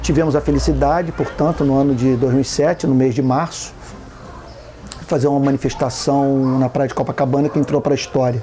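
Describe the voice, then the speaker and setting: Over noticeable background noise, a man speaks with a fairly high pitch, monotone, flat intonation and very even loudness. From Brazil, Rio de Janeiro. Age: 50s. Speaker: activist pastor, NGO founder. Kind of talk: documentary interview. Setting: outdoors.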